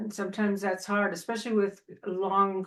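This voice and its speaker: This woman has an Upper Midwest US accent and a medium pitch. She keeps to a moderate pace. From Minnesota. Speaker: Toastmasters host. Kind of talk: casual discussion.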